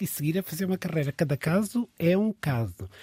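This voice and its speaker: A somewhat breathy man speaks with lively intonation. The recording is very clean and dry, close with no echo and a silent background. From Mozambique. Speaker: dancer and choreographer. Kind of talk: casual chat.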